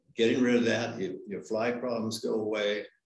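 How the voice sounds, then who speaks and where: A man talks fairly slowly, and audible echo fills the room. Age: 70s. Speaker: cattle and sheep farmer. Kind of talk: panel discussion. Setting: live conference panel.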